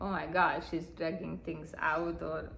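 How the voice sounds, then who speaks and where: Audible room echo around a woman's fairly slow delivery. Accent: non-native. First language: not English. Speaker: spiritual healer. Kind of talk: spiritual talk to a live audience. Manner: halting, many fillers.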